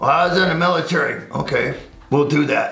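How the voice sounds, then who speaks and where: Noticeable background noise under a man speaking with a fairly high pitch. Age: 70s. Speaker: firearms instructor. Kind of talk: casual interview. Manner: blunt, animated.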